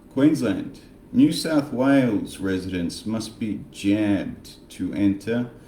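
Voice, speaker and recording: A man speaks with an Australian accent. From Australia, Frankston Victoria. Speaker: political commentary vlogger. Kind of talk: casual monologue vlog. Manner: animated, sarcastic.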